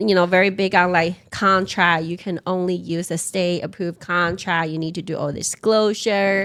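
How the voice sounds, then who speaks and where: Monotone, flat intonation at a moderate pace on a very clean recording with a silent background. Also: woman, fairly low pitch for a woman, hardly any pauses. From Taiwan. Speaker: real estate investor and pharmacist. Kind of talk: podcast interview.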